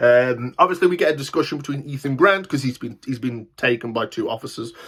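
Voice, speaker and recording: Fairly quick and animated, a man of medium pitch talks with lively intonation. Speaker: TV show reviewer, channel host. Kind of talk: casual video review. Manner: fast.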